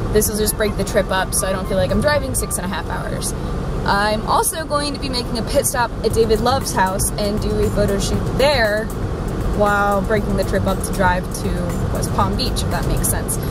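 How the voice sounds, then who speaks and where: A woman at a fairly quick pace, in a dry sound with no echo, with music in the background. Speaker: vlogger. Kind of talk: casual vlog chat. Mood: cheerful, upbeat. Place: car. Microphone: phone near.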